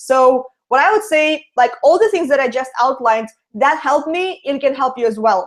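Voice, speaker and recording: In a Russian accent, a woman speaks at a high pitch with lively intonation. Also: moderate pace. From Latvia. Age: 20s. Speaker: online marketer. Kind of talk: interview. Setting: video call.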